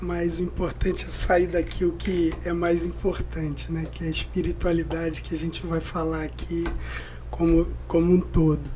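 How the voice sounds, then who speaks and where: Over music in the background, a man puts on a hoarse character voice and speaks at a moderate pace. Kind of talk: spiritual talk, public speaking.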